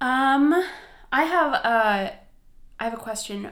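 Lively intonation from a woman with an American accent. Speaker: podcast co-host. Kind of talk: casual chat.

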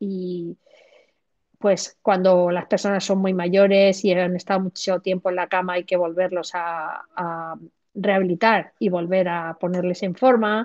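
A woman's unremarkable speaking voice, medium in pitch, with fairly even intonation and a fairly slow pace. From southern Spain, Granada. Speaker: physiotherapist. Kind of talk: interview. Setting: video call.

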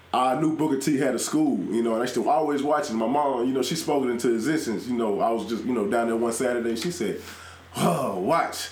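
There is noticeable background noise as a man talks at a very fast pace. His loudness stays very even. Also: medium pitch for a man, ordinary pitch variation. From South Carolina, moved to Houston in junior high. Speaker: professional wrestler. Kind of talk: casual chat.

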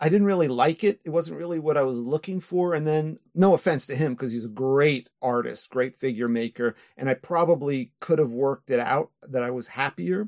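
A man with a normal speaking voice talks at a moderate pace and fairly high pitch, with lively intonation, hardly any pauses, and a dry, close sound with no echo. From New York area, US. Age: 60s. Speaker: filmmaker and author. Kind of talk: casual interview chat.

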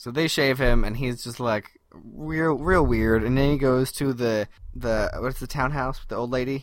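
A man speaks in a normal speaking voice at a medium pitch, his intonation rising and falling by ordinary amounts. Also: moderate pace. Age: 30s. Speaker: podcast co-host. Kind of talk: casual chat.

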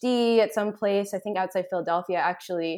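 At a moderate pace, a woman with an American accent and a plain, everyday voice speaks at a medium pitch with ordinary pitch variation. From Boston. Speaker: writer and activist. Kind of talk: casual chat. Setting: remote call.

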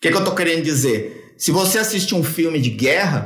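A man speaks at a high pitch. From São Paulo, Brazil. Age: 40s. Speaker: copywriting expert. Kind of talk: podcast interview.

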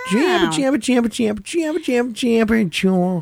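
A put-on character voice at a fairly high pitch moves at a fairly quick pace over clear background noise. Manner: weird, rapid jabbering.

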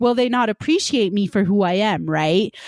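A plain, everyday voice speaks at a moderate pace with ordinary pitch variation, in a dry, close sound with no echo. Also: woman. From Punjab, India, raised in Utah. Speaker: podcast host, medical student. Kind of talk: casual podcast conversation. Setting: virtual studio, remote recording.

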